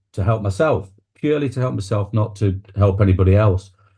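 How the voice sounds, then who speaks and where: A man with an East Midlands accent speaks at a moderate pace in a fairly low, somewhat breathy voice with a dark, mellow tone against a quiet background. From England, Nottingham. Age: 60s. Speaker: public speaking coach and celebrant. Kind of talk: interview conversation.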